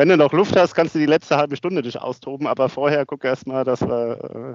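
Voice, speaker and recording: A man with a plain, everyday voice, fairly quick pace, and ordinary pitch variation. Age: 50s. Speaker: asset management executive and amateur cyclist. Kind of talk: interview. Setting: office.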